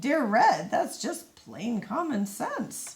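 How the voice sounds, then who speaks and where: In a put-on character voice, a woman speaks at a very slow pace with a high pitch and very wide pitch swings. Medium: read story.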